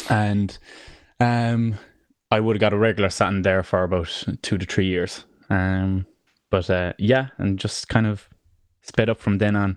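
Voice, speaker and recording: With a Cork accent, a man speaks in a fairly low pitch at a fairly slow pace, his flat, monotone intonation broken by long, frequent pauses over a quiet background. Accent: Cork Irish. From Ireland, Cork. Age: 20s. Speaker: musician. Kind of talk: casual interview.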